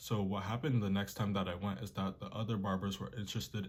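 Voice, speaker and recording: This man's voice sits fairly low in pitch and carries vocal fry. His pitch variation is ordinary. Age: young. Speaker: artist and art tutorial youtuber. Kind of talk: tutorial. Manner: casual, conversational.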